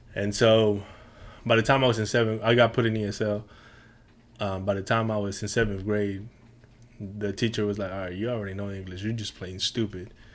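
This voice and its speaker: A man speaks with a Spanish accent at a fairly quick pace but with long, frequent pauses. His fairly low voice stays monotone and flat. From Mexico, moved to Houston at 13. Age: 30s. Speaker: podcast guest, chef and coffee business owner. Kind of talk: casual interview chat.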